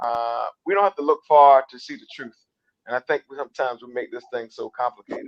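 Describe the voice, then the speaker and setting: A man with an American accent, a plain, everyday voice, fairly even intonation, a fairly quick pace, and dry, close sound with no echo. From South Carolina. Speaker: political strategist. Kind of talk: political interview.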